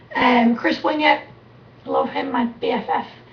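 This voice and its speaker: A woman talks at a moderate tempo while noticeable background noise carries on. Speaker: sports talk show co-host. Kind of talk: casual chat. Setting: live webcast studio. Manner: animated.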